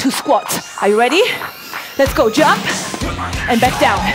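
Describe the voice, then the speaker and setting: Music behind a woman's voice at a moderate speed. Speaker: fitness instructor. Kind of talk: workout class instruction. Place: gym.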